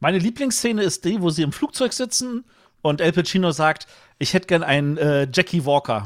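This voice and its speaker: A man's high voice moves at a fairly quick pace with very wide pitch swings and very even loudness. The recording is very clean, with a silent background and a dry, close sound with no echo. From West Berlin. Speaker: podcast co-host. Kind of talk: casual chat.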